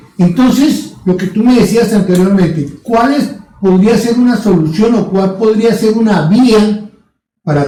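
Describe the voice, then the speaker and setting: A man talks at a fairly slow pace in a dark, mellow tone, with audible room echo. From Latin America. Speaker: podcast co-host. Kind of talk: casual discussion.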